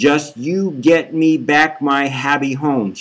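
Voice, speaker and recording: A man uses a put-on character voice at a fairly high pitch. He delivers it at a fairly slow pace. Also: ordinary pitch variation. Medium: read story. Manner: curt, threatening.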